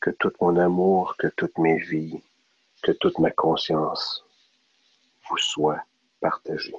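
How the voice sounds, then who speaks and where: A man's voice, dry and close with no echo. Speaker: meditation guide. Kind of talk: guided meditation. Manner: slow.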